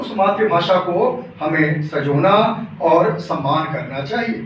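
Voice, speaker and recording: Over noticeable background noise and audible room echo, a man speaks with lively intonation in an Awadh accent. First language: Awadhi (speaking Hindi). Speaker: Hindi teacher giving a talk. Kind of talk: lecture. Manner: formal.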